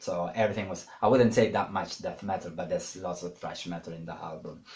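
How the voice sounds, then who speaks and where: A man is speaking. He has a non-native accent. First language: not English. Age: 30s. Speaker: YouTuber. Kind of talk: casual monologue. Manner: hesitant, many fillers.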